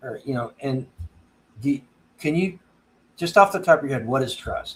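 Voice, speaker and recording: A man speaks at a moderate pace with a fairly high pitch and ordinary pitch variation. He sounds somewhat breathy, with big swings in loudness. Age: 50s. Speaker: homesteading livestream host. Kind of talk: casual live-stream chat. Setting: live stream. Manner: halting, frequent repetitions.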